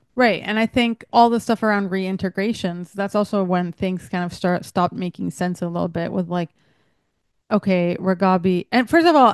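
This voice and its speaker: At a moderate pace, a woman talks at medium pitch with ordinary pitch variation. The sound is dry and close with no echo, over a quiet background. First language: not English. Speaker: show reviewer. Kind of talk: casual chat.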